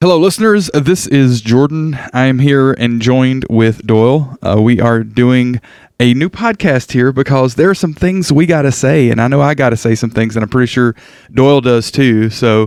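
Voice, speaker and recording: A plain, everyday voice from a man with an American accent, at very even loudness. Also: medium pitch for a man, ordinary pitch variation, moderate pace. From United States. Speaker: podcast host. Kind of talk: casual chat.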